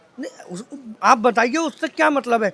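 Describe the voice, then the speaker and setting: Amid noticeable background noise, a man with an extremely high pitch speaks at a moderate pace in an animated tone, with ordinary pitch variation. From India, Vrindavan (Braj region). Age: 40s. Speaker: local shopkeeper. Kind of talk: street interview.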